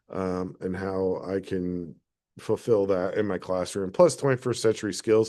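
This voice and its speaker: The speech shows ordinary pitch variation against a quiet background. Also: man. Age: 50s. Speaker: art teacher. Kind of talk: reflective monologue. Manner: halting, many fillers.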